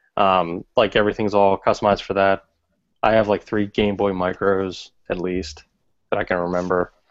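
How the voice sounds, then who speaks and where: A man with an American accent, fairly low-pitched and monotone, in a dry, close sound with no echo over a quiet background. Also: moderate pace. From Philadelphia. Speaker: podcast co-host. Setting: video call.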